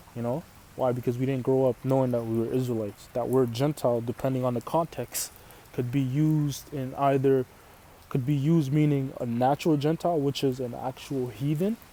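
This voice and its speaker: Man with an Arabic accent, medium pitch, fairly even intonation, fairly quick pace. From Canada. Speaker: religious teacher. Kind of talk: sermon. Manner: casual, repetitive with fillers.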